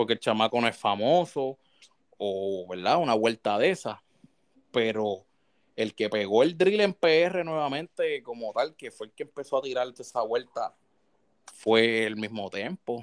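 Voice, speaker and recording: A man with a Puerto Rican accent speaks at a fairly slow pace, his medium-pitched voice carrying lively intonation. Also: dry, close sound with no echo. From Puerto Rico. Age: 30s. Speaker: gaming streamer. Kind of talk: casual chat.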